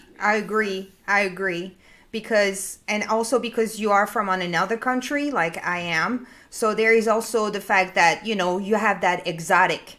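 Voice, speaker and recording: In a very clean recording with a silent background, a voice with a French accent and a bright, sharp tone speaks at a moderate pace with fairly even intonation. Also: woman, medium pitch for a woman. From France. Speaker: business consultant. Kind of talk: panel discussion. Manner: halting, repeats words.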